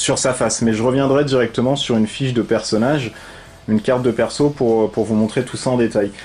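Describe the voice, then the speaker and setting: A man at a medium pitch and a fairly quick pace, monotone and flat, over noticeable background noise. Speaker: board game reviewer. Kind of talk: tutorial. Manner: hesitant, many fillers.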